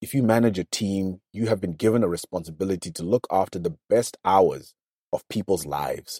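In a dry, close sound with no echo, a man talks at a fairly quick pace with fairly low pitch, ordinary pitch variation and a dark, mellow tone. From Zimbabwe. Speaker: leadership speaker and teacher. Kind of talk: casual interview. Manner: thoughtful, hesitant, repeats phrases.

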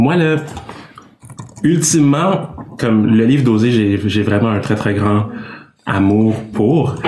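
A man at a medium pitch speaks with long, frequent pauses, ordinary pitch variation and very even loudness, with noticeable background noise and audible room echo. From Quebec, Canada (Congolese parents). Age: 20s. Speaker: engineering student and Bible narrator. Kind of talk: casual interview.

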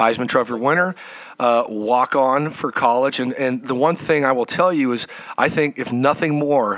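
Against noticeable background noise, a man of medium pitch talks at a moderate pace with fairly even intonation. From Nevada, Lake Tahoe. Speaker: parent of a student athlete. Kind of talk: podcast interview. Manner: hesitant, many fillers.

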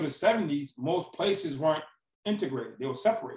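A man's plain, everyday voice, with an American accent, ordinary pitch variation and a moderate pace. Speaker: former prisoner turned speaker. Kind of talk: interview.

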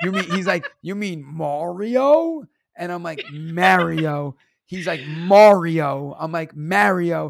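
Speaking very slowly with a New York accent, a man with a high pitch for a man swings widely in loudness. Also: ordinary pitch variation. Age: 30s. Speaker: teacher and stand-up comedian. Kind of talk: casual chat. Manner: animated.

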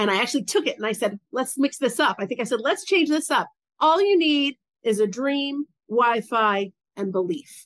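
A woman with an American accent speaks in a high voice with very wide pitch swings, recorded dry and close with no echo. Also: moderate pace, quiet background. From US South. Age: 50s. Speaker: business coach for women entrepreneurs. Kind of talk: interview, personal story.

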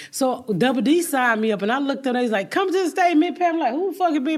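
A woman talks very fast with hardly any pauses, her tone animated and her intonation lively. Noticeable noise sits in the background. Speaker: stand-up comedian. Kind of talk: interview.

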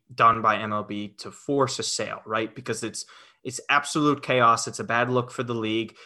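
Against a quiet background, a man of medium pitch speaks at a fairly slow pace in a bright, sharp tone with ordinary pitch variation. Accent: New York. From Westchester, New York. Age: 20s. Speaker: sports fan guest. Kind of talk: casual sports chat.

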